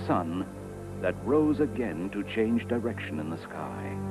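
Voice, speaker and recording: Music plays in the background as a man with a fairly low pitch speaks in a serious tone. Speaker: narrator. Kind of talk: documentary narration. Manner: grave, serious.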